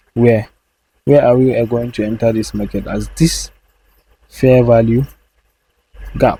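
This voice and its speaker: Somewhat breathy and dark, mellow in tone, a man speaks at a fairly slow pace with long, frequent pauses. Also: medium pitch for a man, fairly even intonation. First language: not English. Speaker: trading educator. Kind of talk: tutorial. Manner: halting.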